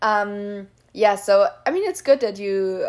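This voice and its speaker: A woman talks in an Austrian accent. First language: German. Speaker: podcast host. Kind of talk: casual chat. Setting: remote call.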